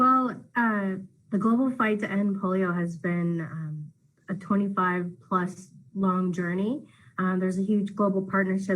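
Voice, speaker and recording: Her voice somewhat breathy and medium in pitch, a woman speaks at a fairly slow pace with fairly even intonation. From India. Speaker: wheelchair athlete and speaker. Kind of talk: interview.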